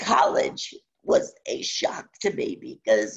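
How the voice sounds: A strained, raspy voice with a husky, rough edge, vocal fry and very wide pitch swings.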